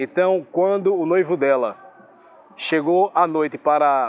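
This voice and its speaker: The pace is fairly slow as a man talks. His pitch shows ordinary variation. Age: 30s. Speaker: radio professional. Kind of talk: testimony.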